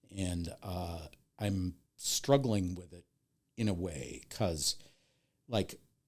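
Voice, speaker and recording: Very slowly and with long, frequent pauses, a man speaks in a very deep, low pitch, using ordinary pitch variation and big swings in loudness. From US Midwest, Milwaukee, Wisconsin. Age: 60s. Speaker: TV horror host and video editor. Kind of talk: casual podcast interview.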